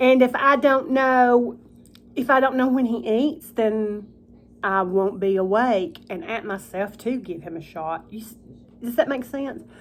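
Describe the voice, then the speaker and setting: A woman with a Southern US accent mumbles at a fairly slow pace in a fairly high voice. Her intonation is lively and her loudness swings widely. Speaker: vlogger. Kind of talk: casual chat. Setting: at home, eating supper in her kitchen. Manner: mumbling.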